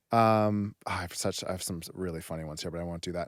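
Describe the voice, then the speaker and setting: Very fast speech from a man with a very deep, low voice and an American accent, on a very clean recording with a silent background. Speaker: podcast host. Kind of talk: casual interview chat.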